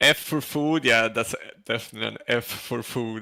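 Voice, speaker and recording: A man with a slight Swedish accent speaks at a moderate pace in a bright, sharp tone. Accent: Swedish, mild. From Sweden. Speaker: co-streamer, gamer. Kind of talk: live stream chat, reading chat.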